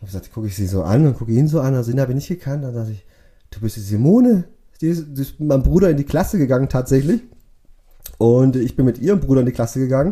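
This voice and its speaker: A man's very fast, somewhat breathy speech at a medium pitch, dark and mellow in tone, with lively intonation and big swings in loudness. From Swabia, Bad Liebenzell (Baden-Württemberg), Portuguese family. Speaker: vehicle shipping agent. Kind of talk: casual interview.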